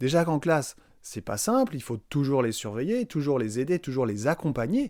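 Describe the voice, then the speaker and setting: A man at medium pitch and a moderate pace, on a very clean recording with a silent background. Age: 40s. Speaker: secondary school physics teacher. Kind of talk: recorded testimony.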